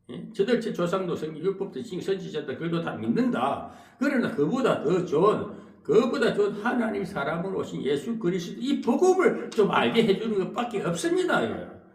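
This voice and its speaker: A man's high-pitched voice at a moderate pace, lively intonation and a Gyeongsang accent, with audible room echo and noticeable background noise. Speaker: pastor. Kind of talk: sermon. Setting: church. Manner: halting, with filler interjections.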